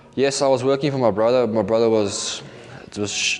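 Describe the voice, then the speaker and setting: A man speaks at a fairly quick pace in a medium pitch, with noticeable background noise behind him. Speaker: recovering addict. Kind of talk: testimony. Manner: halting.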